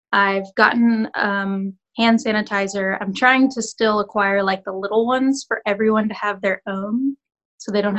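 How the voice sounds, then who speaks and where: Recorded with a dry, close sound and no echo, a woman with an ordinary speaking voice talks at a fairly high pitch with fairly even intonation. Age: 20s. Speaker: actress and filmmaker. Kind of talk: casual chat. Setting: video call. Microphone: phone.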